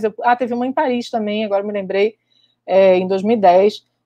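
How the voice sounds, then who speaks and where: A woman talks at a moderate pace in a dry sound with no echo against a quiet background. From Brazil, Rio de Janeiro. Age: 40s. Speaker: microbiology professor. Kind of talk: online lecture. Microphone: webcam.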